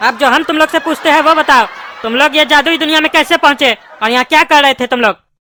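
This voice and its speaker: A cartoonish character voice pitched high. It moves at a very fast pace. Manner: gruff, scolding.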